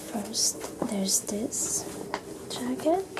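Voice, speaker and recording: A woman speaks in a soft-spoken way. Noticeable background noise is heard behind her. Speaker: haul vlogger. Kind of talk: ASMR soft-spoken clothing haul. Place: home room.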